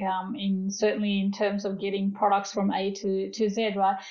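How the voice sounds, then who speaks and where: In a room with audible echo, a woman speaks at a moderate pace with medium pitch and monotone, flat intonation. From Fiji. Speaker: food industry executive. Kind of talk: interview.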